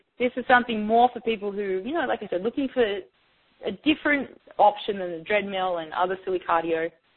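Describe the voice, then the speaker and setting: A woman with an Australian accent, medium in pitch, talking at a very fast pace with lively intonation. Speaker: fitness trainer. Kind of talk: interview; workout instruction. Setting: phone call.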